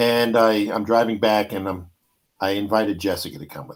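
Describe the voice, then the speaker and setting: Speaking with a New York accent, a man keeps a moderate pace, his fairly low voice showing ordinary pitch variation. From New York, Brooklyn. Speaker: podcast host. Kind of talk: casual chat. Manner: animated storytelling.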